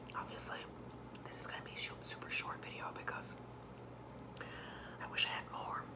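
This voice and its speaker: Loud background noise behind a woman's voice at a moderate pace. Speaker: ASMR vlogger. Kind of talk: ASMR eating video, casual talk to camera. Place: home room. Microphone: phone near.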